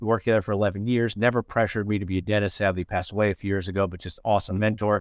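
A man talks at a very fast pace in a fairly low, monotone, flat voice. The sound is dry and close with no echo, over a quiet background. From central New Jersey. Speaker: dentist and online community founder. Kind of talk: casual chat.

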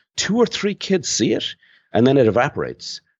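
A man speaks with an Irish accent at a fairly quick pace. His pitch swings very widely. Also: quiet background. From Ireland. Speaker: marketing consultant and author. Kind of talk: interview.

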